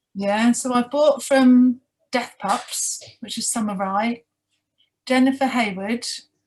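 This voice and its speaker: Delivery is very slow, in a British accent. The intonation is fairly even. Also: woman. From UK. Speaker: sugar glider mentor. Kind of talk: interview.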